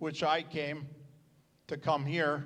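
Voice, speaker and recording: Audible room echo surrounds a man speaking at a very slow pace. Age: 70s. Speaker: retired pastor. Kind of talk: speech at church celebration.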